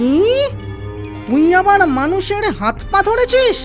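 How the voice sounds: A put-on character voice moves at a fairly slow pace with big pitch swings. Clear music plays in the background.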